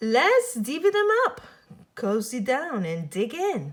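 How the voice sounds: Using a put-on character voice, the speaker goes at a slow pace with big pitch swings. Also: woman, fairly high pitch for a woman.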